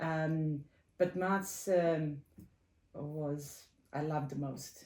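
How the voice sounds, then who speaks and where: A woman's very deep, low voice with a dark, mellow tone, fairly even intonation and a very slow pace. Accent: Serbian. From Serbia (former Yugoslavia). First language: Serbian. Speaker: computer science professor. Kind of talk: interview. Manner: halting, many fillers.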